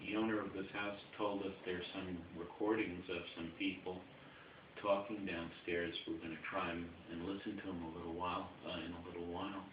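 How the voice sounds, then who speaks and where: A man with an American accent, very deep, low pitch, monotone, flat intonation and moderate pace, amid noticeable background noise and audible room echo. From New York. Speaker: paranormal investigator. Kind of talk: EVP session, speaking to spirits. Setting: indoors in a house room, fan off.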